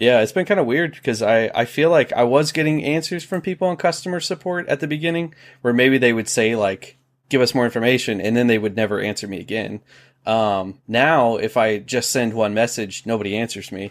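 Using an ordinary speaking voice, a man talks at medium pitch and a fairly quick pace with lively intonation, on a very clean recording with a silent background. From Ohio. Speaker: YouTuber and delivery driver. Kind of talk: casual interview.

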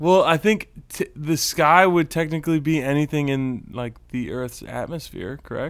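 A man with an American accent uses an ordinary speaking voice, fairly high in pitch with ordinary pitch variation. He keeps a moderate pace with hardly any pauses, on a very clean recording with a silent background. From Texas. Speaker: podcast co-host. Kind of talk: casual chat.

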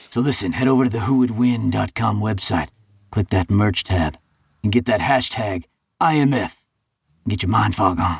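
Putting on a gravelly character voice, a man speaks fairly low at a moderate pace, leaving long, frequent pauses.

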